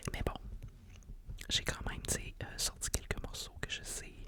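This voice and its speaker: A woman is whispering. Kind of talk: ASMR whispered podcast talk. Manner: whispered, soft-spoken.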